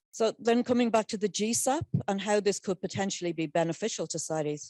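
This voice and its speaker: In an Irish accent, a woman speaks at a fairly quick pace. Her tone is dark and mellow, with ordinary pitch variation. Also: dry, close sound with no echo. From Ireland. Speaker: convention secretariat scientific officer. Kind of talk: conference presentation.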